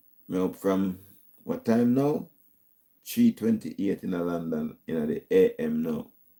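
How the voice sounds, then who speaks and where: A man speaks with a Jamaican accent. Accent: Jamaican patois-inflected English. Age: 70s. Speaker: YouTube talk show host. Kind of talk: casual live-stream sign-off.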